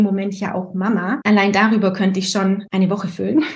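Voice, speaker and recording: The speech moves at a fairly quick pace with fairly even intonation. Noticeable background noise runs underneath. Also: woman. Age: 30s. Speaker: essential oils consultant and astrology student. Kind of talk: casual interview.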